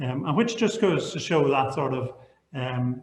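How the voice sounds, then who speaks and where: At a moderate pace, the speaker talks with a Northern Irish accent. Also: man. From Northern Ireland, Belfast. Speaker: architect. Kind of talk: online panel presentation. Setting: online video panel. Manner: halting, repeats words.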